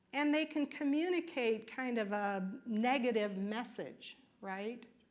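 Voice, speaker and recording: Her high-pitched voice rises and falls with lively intonation, and the room gives off an audible echo. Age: 60s. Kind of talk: lecture. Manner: conversational, frequent "right?" and "okay?" tags.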